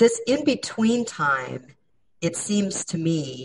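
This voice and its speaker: A woman talks very slowly. Her voice is somewhat breathy. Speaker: cultural analyst and interviewer. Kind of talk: interview.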